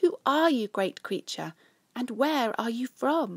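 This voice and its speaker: A woman's put-on character voice, high-pitched, raised and projected, at a fairly slow pace, in a very clean recording with a silent background. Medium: read story.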